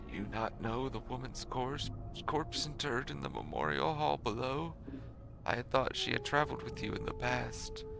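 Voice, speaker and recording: Over loud music in the background, a man speaks at a moderate pace in a put-on character voice. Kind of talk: archaic formal speech. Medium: game stream. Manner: solemn, measured.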